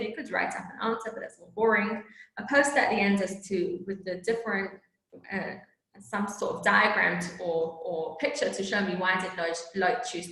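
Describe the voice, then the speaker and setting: A woman speaks at a moderate pace in a medium pitch, with audible echo from the room. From England and South Africa. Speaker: teacher trainer. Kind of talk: teacher training presentation. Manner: casual, conversational with fillers.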